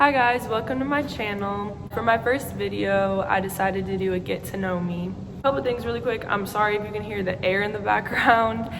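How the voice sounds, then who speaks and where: With an American accent, a woman talks at a fairly quick pace with hardly any pauses, at a medium pitch with ordinary pitch variation. Noticeable background noise and audible room echo are present. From Wisconsin, near Milwaukee. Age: young. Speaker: vlogger, college student. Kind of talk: get-to-know-me vlog, casual Q&A.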